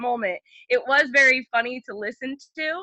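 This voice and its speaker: A loud, high-pitched woman with an animated tone and a New Jersey accent. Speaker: podcast guest, former dormmate. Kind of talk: casual chat.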